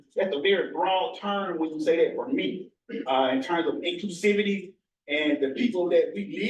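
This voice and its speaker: A man with a Mississippi accent speaks with very wide pitch swings. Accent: Southern US (Mississippi). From US South, northern Mississippi. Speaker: researcher. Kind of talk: presentation.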